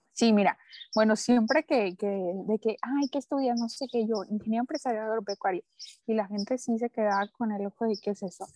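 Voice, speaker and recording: The voice has a dark, mellow tone and ordinary pitch variation, recorded with a dry, close sound and no echo. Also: woman, fairly high pitch for a woman. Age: 20s. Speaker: entrepreneur. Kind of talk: interview.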